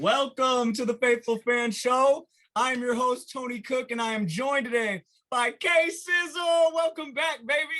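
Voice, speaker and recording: At a fairly slow pace, a man projects a raised voice at an extremely high pitch. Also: ordinary pitch variation. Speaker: sports podcast host. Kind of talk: casual chat.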